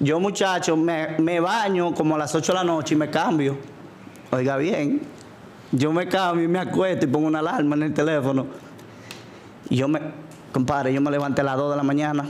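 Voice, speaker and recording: Speaking with a Dominican accent, a man holds a fairly high pitch and very even loudness at a moderate pace. He leaves long, frequent pauses over light background noise. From Dominican Republic. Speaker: DJ; podcast guest, DJ. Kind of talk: casual interview. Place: studio. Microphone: studio mic.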